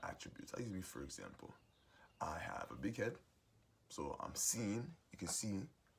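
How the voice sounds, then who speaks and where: A man's fairly low voice with vocal fry and very wide pitch swings, moderate in pace, with long, frequent pauses. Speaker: musician sharing life advice. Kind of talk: motivational monologue.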